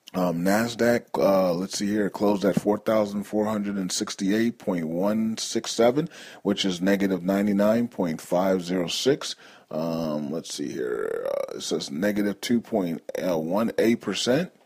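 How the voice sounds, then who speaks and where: A man with an ordinary speaking voice, fairly low-pitched, at a fairly slow pace with ordinary pitch variation over a quiet background. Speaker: news call host. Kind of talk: market news commentary.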